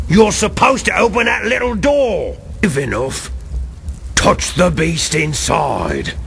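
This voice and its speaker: Cackling in a put-on character voice, a man speaks at a fairly slow pace over clear background noise. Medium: video game. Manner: cackling, mocking.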